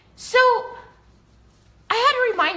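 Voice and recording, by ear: A woman with an American accent has a bright, sharp tone, with audible room echo around her voice.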